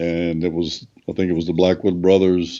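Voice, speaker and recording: This man has a very deep, low pitch and a dark, mellow tone, with a Southern US accent. He talks at a fairly slow pace. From US South, North Carolina (Raleigh). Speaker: gospel singer. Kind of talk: interview.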